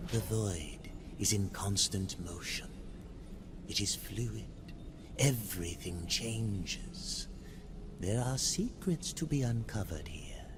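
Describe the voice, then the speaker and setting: Loud background noise sits under a put-on character voice with low pitch. Delivery is fairly slow, broken by long, frequent pauses. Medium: video game. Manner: cryptic, slow, murmuring.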